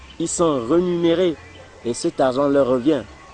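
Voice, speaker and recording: With music playing in the background, a man's fairly high voice moves at a fairly slow pace. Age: 30s. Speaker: circus performer and trainer. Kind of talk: documentary interview.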